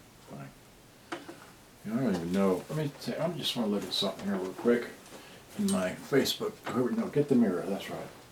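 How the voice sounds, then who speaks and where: Over noticeable background noise, a soft-spoken man with a medium pitch talks at a fairly quick pace, his pitch swinging very widely. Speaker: electronics repair hobbyist streamer. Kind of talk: live repair stream. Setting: home livestream. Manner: halting.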